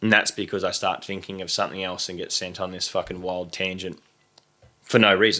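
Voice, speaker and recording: Speaking in an Australian accent, a man with a very deep, low pitch and a bright, sharp tone talks at a fairly quick pace, his intonation monotone and flat but his loudness swinging widely. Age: 20s. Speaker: content creator. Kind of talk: casual chat. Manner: fast.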